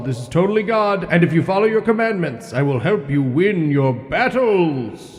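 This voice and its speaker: Using a put-on character voice, a man speaks at a high pitch and a moderate pace, with clear echo around him. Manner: booming, commanding.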